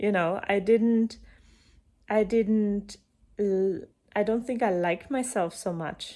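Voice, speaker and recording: With a German accent, a woman speaks at a fairly slow pace in a dark, mellow tone, her medium pitch carried by fairly even intonation on a very clean recording with a silent background. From eastern Germany. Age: 30s. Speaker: coach and breathwork facilitator. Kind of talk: personal talk to camera.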